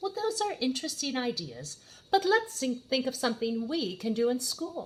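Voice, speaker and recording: A woman puts on a character voice, pitched high and swinging very widely, at a moderate pace. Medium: read story.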